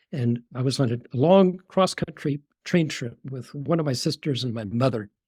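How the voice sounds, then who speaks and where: A man's somewhat breathy voice shows ordinary pitch variation. The sound is dry and close, with no echo. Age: 70s. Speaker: retired neurologist and author. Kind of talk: podcast interview. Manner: halting, with repetitions.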